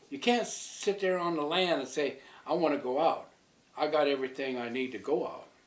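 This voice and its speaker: Over noticeable background noise and audible room echo, a man speaks at a fairly quick pace with a fairly high pitch and ordinary pitch variation. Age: old. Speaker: community elder. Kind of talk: interview.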